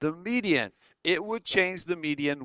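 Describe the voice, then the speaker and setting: Man's voice, bright and sharp, with lively intonation at a moderate pace, in a dry, close sound with no echo against a quiet background. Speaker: math teacher. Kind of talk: tutorial.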